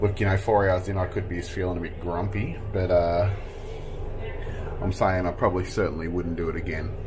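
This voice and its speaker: Over noticeable background noise, a man speaks in a very deep, low voice. His delivery is fairly quick and monotone, with flat intonation. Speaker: family travel vlogger. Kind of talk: casual vlog chat. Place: train.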